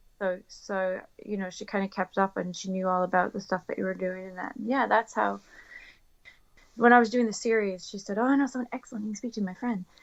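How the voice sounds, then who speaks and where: A woman speaks at a fairly quick pace and medium pitch with fairly even intonation. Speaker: newspaper reporter and podcast co-host. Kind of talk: casual chat.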